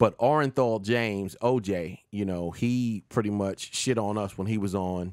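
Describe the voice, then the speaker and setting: A man speaks at a fairly low pitch with ordinary pitch variation. The sound is dry with no echo, and the background is quiet. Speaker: podcast host. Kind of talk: opinion commentary talk show. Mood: opinionated, animated. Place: home room. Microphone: studio mic.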